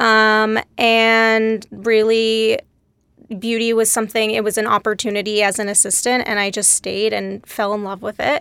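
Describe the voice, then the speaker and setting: This woman has a bright, sharp tone and a fairly high pitch, with an American accent. Her intonation stays flat and monotone, and the recording is very clean with a silent background. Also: moderate pace. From Texas, Dallas. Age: 30s. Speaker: beauty industry director. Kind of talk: casual interview.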